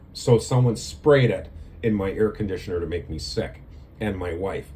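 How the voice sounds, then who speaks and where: A man with vocal fry speaks at a fairly quick pace and a fairly low pitch, his voice moving in very wide pitch swings. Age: 60s. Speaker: video blogger. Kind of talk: casual monologue to camera. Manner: halting, many fillers.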